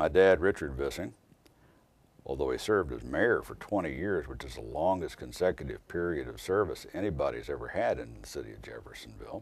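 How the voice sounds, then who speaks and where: Loudness swings widely as a man speaks at a fairly quick pace. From US Midwest, southern Indiana. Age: 60s. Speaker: attorney. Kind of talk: interview testimony. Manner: hesitant, with frequent fillers.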